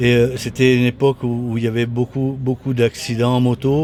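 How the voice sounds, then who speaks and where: Noticeable noise runs behind the man as he talks at a medium speed. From southern France, Toulon. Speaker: retired motorcycle racer. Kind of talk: interview. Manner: halting, many repetitions and hesitations.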